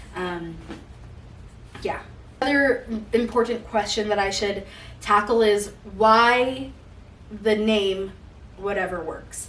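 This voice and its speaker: With noticeable background noise and audible room echo, a woman speaks at a very slow pace in a medium pitch. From Utah, US. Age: 20s. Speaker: podcast host. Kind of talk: casual monologue. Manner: loud.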